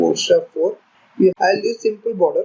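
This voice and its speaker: A man at a moderate pace. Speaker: programming tutor. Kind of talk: tutorial.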